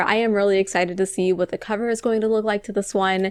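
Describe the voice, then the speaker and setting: A woman speaks with an Ohio accent. Her tone is animated. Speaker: book reviewer. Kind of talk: casual vlog talk.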